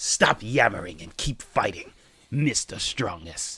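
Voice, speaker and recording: Using a put-on character voice, a man talks at a fairly slow pace and a medium pitch. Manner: overdramatic, mocking.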